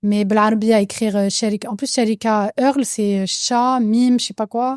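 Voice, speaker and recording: A woman with a slight Algerian accent speaks at a moderate pace in a fairly high, monotone, flat voice, recorded very cleanly over a silent background. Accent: slight accent in Algerian Arabic, judged mild. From France, Algerian family. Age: 30s. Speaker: cosmetics entrepreneur. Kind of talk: casual interview. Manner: many fillers, code-switching French and Arabic.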